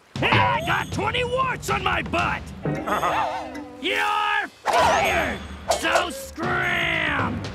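Shouting in a cartoonish character voice with a bright, sharp tone, the speaker goes at a very slow pace with very wide pitch swings while faint music plays in the background. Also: man, extremely high pitch for a man.

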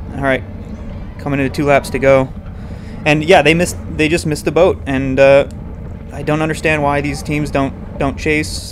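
An excited man speaks at a moderate pace and a fairly high pitch. Noticeable background noise runs underneath. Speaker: amateur racing cyclist and race commentator. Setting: recorded after the race as voiceover on video. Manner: tactical and opinionated, excited about the chase.

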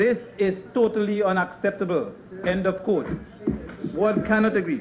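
Speech moves at a moderate pace. Light background noise is present. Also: man. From Guyana. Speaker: politician. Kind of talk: parliamentary speech. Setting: parliament chamber. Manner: formal. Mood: critical, measured. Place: hall. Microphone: podium.

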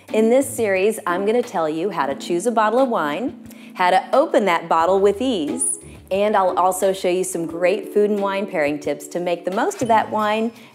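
A woman at a moderate pace, with faint music in the background. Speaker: wine expert host. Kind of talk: tutorial. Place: kitchen.

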